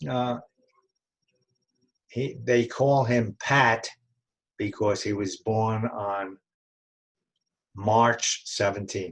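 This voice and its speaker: Keeping a very slow pace, a man with a fairly low pitch speaks with fairly even intonation. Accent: New York. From New York City (Brooklyn, Bronx). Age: 90s. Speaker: family elder interviewee. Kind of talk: oral history interview. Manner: halting, many fillers and restarts.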